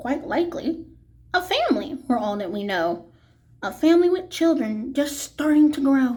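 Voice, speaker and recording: Put-on character voice from a woman, pitched high, moderately paced. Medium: read story. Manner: earnest, gentle.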